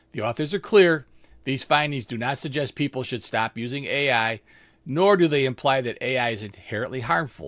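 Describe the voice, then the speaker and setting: An unremarkable speaking voice from a man at medium pitch, moderate pace and lively intonation, on a very clean recording with a silent background. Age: 60s. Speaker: nurse, health news podcast host. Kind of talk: scripted health news explainer. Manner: reads script with casual asides.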